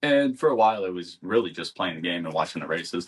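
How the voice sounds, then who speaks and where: A man is speaking. He has a Midwestern US accent. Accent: US Midwest. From US Midwest. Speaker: podcast co-host. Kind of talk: casual chat. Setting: home.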